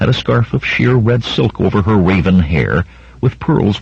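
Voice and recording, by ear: In a natural voice, someone reads aloud.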